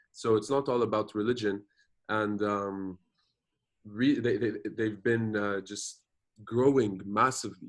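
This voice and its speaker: A man with a French accent, fairly low-pitched and fairly slow, with fairly even intonation, long, frequent pauses and a quiet background. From Jordan. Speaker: activist and social media influencer. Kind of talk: interview. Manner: code-switching Arabic and English, with frequent fillers and repetitions.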